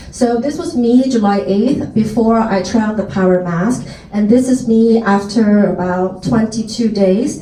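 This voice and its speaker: With an American accent, a woman talks at a fairly slow pace and fairly high pitch, with ordinary pitch variation and hardly any pauses. Audible room echo is present. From Taiwan, then United States from age 10. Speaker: skincare sales presenter. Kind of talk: product presentation. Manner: loud.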